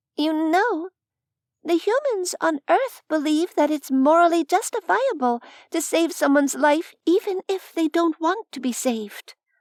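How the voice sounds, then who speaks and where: Putting on a squeaky character voice, a woman speaks at a moderate pace in an extremely high pitch with a gentle tone, on a very clean recording with a silent background. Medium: read story. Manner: gentle, reasoned.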